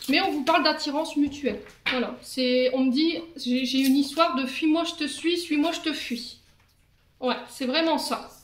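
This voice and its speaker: A woman speaks at a fairly slow pace with fairly even intonation and big swings in loudness. Audible room echo surrounds her voice. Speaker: tarot reader. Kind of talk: tarot reading. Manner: hesitant with fillers.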